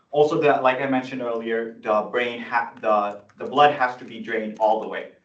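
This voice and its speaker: Audible room echo around a man's moderate-paced, medium-pitched voice. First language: not English (English is third language). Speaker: student senator. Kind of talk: presentation at student meeting. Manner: halting, many fillers and restarts.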